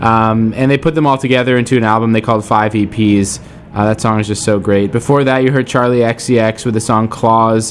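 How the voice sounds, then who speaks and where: Over noticeable background noise, a man speaks at a fairly quick pace with very even loudness. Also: medium pitch for a man. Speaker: radio host. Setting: radio studio broadcast. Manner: casual, enthusiastic and upbeat, with frequent fillers like um and uh; warm, chatty, gushing about songs.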